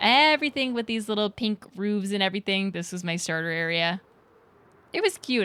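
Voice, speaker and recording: With an American accent, a woman speaks at a fairly quick pace in an unremarkable speaking voice, her medium pitch showing ordinary pitch variation. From Pennsylvania. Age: 20s. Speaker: streamer. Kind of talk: casual chat.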